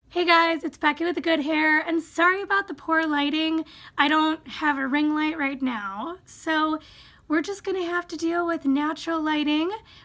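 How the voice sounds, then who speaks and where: A raised, projected voice with a bright, sharp tone and fairly even intonation moves at a moderate pace. The recording is very clean, with a silent background. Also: woman, extremely high pitch for a woman. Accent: American. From Wisconsin. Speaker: YouTuber. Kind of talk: casual vlog, reading and answering questions. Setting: home, sitting in a squeaky chair.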